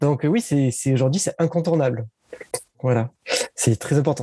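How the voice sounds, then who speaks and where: A man at medium pitch with an unremarkable speaking voice and ordinary pitch variation, dry and close with no echo. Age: 30s. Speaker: digital marketing consultant. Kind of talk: interview.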